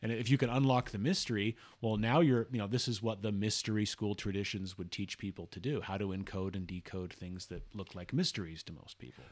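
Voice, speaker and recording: This speaker has an American accent and talks at a fairly quick pace. Pitch varies in an ordinary way. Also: man, fairly low pitch for a man, very clean recording, silent background. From Utah, Salt Lake area. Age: 40s. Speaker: blogger discussing scripture and symbolism. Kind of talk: casual chat. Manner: halting, frequent restarts.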